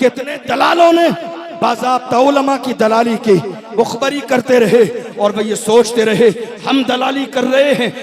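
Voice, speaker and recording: A man's extremely high voice carries over noticeable background noise. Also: ordinary pitch variation. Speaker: Islamic preacher. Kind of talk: religious sermon. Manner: fiery, forceful.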